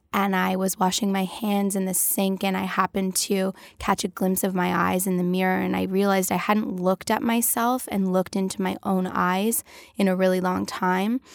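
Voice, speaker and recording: With a Canadian accent, a woman talks at a moderate pace in an ordinary speaking voice, with medium pitch, fairly even intonation and very even loudness. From Canada, Toronto (North York). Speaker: CEO. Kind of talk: interview conversation.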